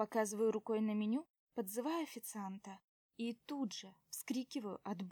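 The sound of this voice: Ordinary pitch variation in an unforced reading voice, quiet background behind it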